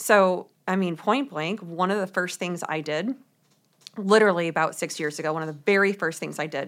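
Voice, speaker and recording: A woman with an American accent, a normal speaking voice, a fairly low pitch and ordinary pitch variation speaks at a moderate pace in a very clean recording with a silent background. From US Midwest, St. Louis, Missouri. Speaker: authenticity coach and author. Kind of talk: casual interview.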